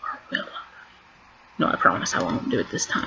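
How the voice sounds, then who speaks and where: A woman talks against noticeable background noise. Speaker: queer vlogger. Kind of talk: casual vlog monologue. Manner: stuttering.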